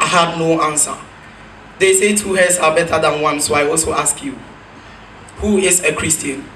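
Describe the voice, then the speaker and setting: An animated voice at a moderate pace with long, frequent pauses, audible room echo, and light background noise. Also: man, high pitch for a man. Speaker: spoken word poet. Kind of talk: spoken word poem performed on stage. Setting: stage with audience. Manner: animated, rhetorical, building rhythmically with repeated questions; satirical, accusing. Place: stage.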